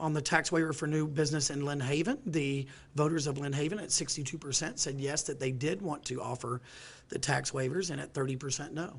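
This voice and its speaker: Somewhat breathy and fairly high-pitched, a man speaks with fairly even intonation. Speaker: local political analyst. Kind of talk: live election analysis. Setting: TV newsroom studio. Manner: halting.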